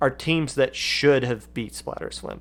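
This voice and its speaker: Vocal fry marks this man's speech on a very clean recording with a silent background. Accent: American. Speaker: esports podcast host. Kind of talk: live stream commentary. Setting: live stream.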